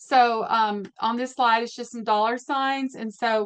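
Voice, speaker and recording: Speaking at a moderate pace, a woman with an unremarkable speaking voice keeps a fairly high pitch and ordinary pitch variation. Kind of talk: webinar presentation. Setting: online webinar.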